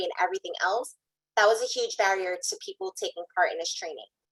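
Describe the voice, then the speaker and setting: Speaking very fast, a woman at medium pitch uses fairly even intonation and a bright, sharp tone, recorded dry and close with no echo. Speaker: workforce program panelist. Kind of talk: panel presentation.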